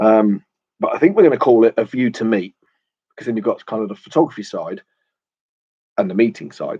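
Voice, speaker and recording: With a southern English accent, a man speaks at a medium pitch in a dark, mellow tone with ordinary pitch variation, and the sound is dry and close with no echo. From southern England, near London. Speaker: photography vlogger. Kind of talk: casual livestream chat. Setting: garden studio, livestream. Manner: rambling, informal.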